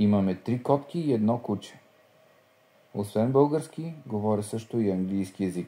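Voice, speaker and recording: This man speaks at a fairly slow pace in a fairly low pitch, his intonation lively. His tone is dark and mellow. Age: 20s. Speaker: language learning speaker. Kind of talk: scripted reading.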